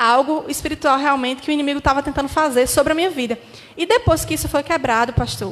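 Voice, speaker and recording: Speaking at a fairly quick pace, a woman with a high pitch shows ordinary pitch variation. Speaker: pastor's daughter giving testimony. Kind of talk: testimony. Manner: fast.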